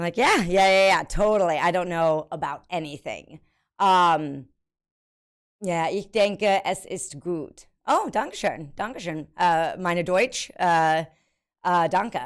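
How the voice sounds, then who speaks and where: Speaking very slowly with an American accent and ordinary pitch variation, a woman is heard on a very clean recording with a silent background. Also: fairly low pitch for a woman. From US, military family (born Oklahoma, early childhood Germany). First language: German. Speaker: streamer. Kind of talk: casual live stream chat. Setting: live stream. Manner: halting, many fillers.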